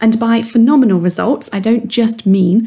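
Somewhat breathy, a woman speaks with a dark, mellow tone. Her pace is moderate and her intonation fairly even. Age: 40s. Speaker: weight mindset coach and podcast host. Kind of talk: monologue podcast, motivational coaching talk.

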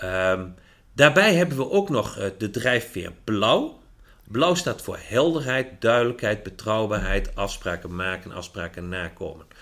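On a very clean recording with a silent background, a man speaks at a fairly slow pace, his pitch swinging very widely. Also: medium pitch for a man. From Netherlands, Achterhoek. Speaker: management drives consultant. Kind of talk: podcast interview.

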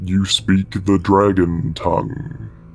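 Over clear background noise, a man uses a put-on character voice that rumbles at a very deep, low pitch.

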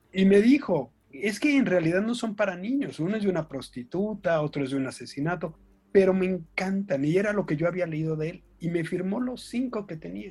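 This man talks at a fairly quick pace with hardly any pauses, his pitch high. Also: lively intonation. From Mexico. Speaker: children's author and book designer. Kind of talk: casual interview chat.

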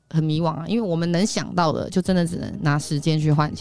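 Music plays in the background as a woman speaks. Her voice is fairly low and her pace fairly quick. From Taiwan, Taipei. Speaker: entrepreneur and image coach. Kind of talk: interview.

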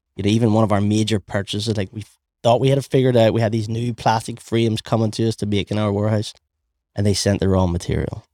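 A man with a Belfast accent speaks in a flat monotone at a very fast pace, his pitch fairly low. The sound is dry and close, without echo. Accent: Belfast Northern Irish. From Northern Ireland, Belfast. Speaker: small business owner and inventor. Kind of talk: casual interview.

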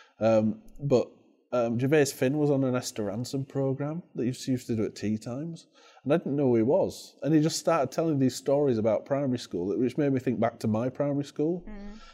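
A dark, mellow tone in a Yorkshire accent, at a fairly quick pace with ordinary pitch variation. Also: man, medium pitch for a man. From northern England. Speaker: head teacher. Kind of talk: interview. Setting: education conference.

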